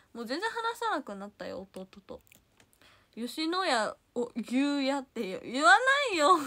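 A woman with a Kansai accent speaks at a fairly slow pace in a raised, projected, high-pitched voice with an animated tone. Her pitch swings very widely, her loudness shifts greatly, and the background is quiet. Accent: Kansai (Osaka) dialect. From Osaka, Japan. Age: 20s. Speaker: idol livestreamer. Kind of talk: casual livestream chat reading viewer comments. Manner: animated, frequent laughter. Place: home room. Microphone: phone near.

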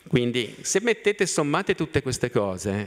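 A man's pitch swings very widely over a quiet background. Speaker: city mobility planning official; panelist. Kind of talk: conference talk. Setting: stage with audience. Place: hall. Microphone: podium.

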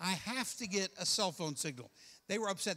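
This man's voice is raised and projected, with a bright, sharp tone. His pitch sits high. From Kentucky. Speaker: pastor. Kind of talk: sermon. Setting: church with congregation. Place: church. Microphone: handheld.

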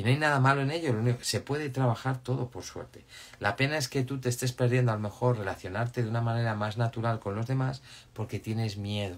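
Somewhat breathy, a man at a medium pitch talks at a very fast pace with fairly even intonation. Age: 50s. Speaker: life coach. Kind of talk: live stream talk; live Q&A advice chat. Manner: casual, halting with repetitions. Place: home room. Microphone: phone near.

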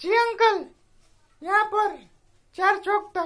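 The man's pitch is extremely high. He is doing a put-on character voice. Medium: stage.

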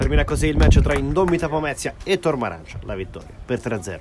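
A man talks with hardly any pauses. Music plays in the background. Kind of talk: live sports commentary. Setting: amateur football match commentary over highlights. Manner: animated, rising intensity on shots and goals.

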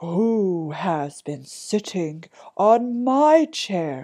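A put-on character voice, female-sounding, at a middle pitch and a very slow pace.

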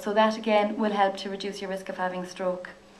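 A woman with an Irish accent at a medium pitch and a very fast pace. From Ireland. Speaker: physiotherapist. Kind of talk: lecture. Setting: stage with audience. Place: hall.

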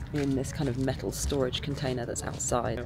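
A woman's very deep, low voice at a moderate pace, with clear music in the background and a dry sound with no echo. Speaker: motovlogger. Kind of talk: casual vlog chat. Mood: relaxed, cheerful morning. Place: forest. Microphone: phone near.

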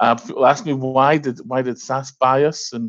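A man speaks in a monotone with flat intonation against a quiet background. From northeast England. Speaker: software company director. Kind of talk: business presentation. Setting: video call. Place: home room. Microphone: headset.

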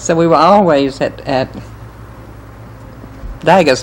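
Over light background noise, a woman with an American accent speaks at a fairly slow pace. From Winston-Salem, North Carolina; North Carolina. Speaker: interviewee. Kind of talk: oral history interview answer. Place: home room. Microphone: old recording.

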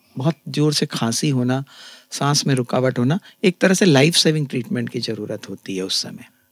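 Over a quiet background with a dry, echo-free sound, a man of medium pitch talks at a moderate pace with lively intonation. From India, Chhattisgarh (Raipur); Chhattisgarh. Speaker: ENT surgeon; guest. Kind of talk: interview. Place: studio. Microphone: studio mic.

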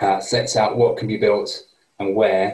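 A man at a moderate pace, with audible room echo. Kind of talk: presentation briefing. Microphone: video call.

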